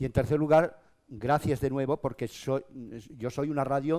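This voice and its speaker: The man's tone is animated. He keeps a moderate pace. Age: 60s. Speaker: local radio broadcaster. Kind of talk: panel discussion. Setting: stage with audience.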